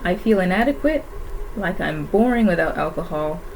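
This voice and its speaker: A woman speaks at a moderate pace, her voice carrying audible room echo over noticeable background noise. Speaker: YouTuber. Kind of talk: reading aloud from own diary. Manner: halting.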